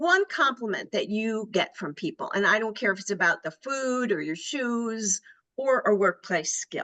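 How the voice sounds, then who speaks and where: A woman's bright, sharp, fairly high voice, lively in intonation, at a moderate pace. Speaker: career coach. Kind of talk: webinar presentation. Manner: projecting.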